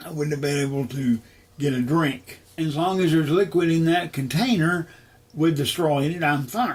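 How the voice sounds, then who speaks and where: A man speaks at a fairly high pitch and moderate pace, with ordinary pitch variation. It is a normal speaking voice. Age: 60s. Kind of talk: interview testimony. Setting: at home.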